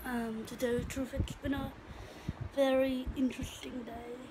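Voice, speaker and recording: Amid noticeable background noise, a woman with a high pitch speaks fairly slowly in a monotone, flat intonation. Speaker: vlogger and singing student. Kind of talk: casual vlog monologue. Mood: reflective, personal, faith talk. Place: home room. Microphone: phone near.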